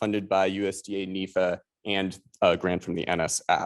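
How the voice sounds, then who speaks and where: Over a quiet background, a man with a Chicago accent speaks at a moderate pace and a fairly low pitch. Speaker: statistics professor, seminar moderator. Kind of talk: seminar introduction.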